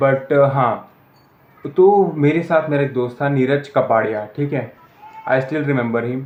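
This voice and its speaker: With ordinary variation in pitch, a man speaks in a fairly high register. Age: 20s. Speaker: student vlogger. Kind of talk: personal vlog. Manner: halting, many fillers and restarts.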